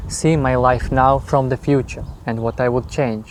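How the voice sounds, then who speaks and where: A man speaks in a Russian accent at a fairly slow pace. His medium-pitched voice keeps a fairly even intonation. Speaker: YouTuber. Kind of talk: interview answers. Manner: halting, many fillers.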